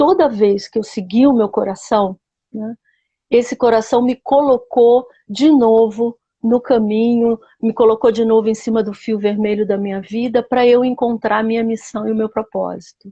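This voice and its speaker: A somewhat breathy woman at a moderate pace, fairly high in pitch, with fairly even intonation. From Rio de Janeiro, Brazil. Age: 60s. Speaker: biographical counselor. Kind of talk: interview.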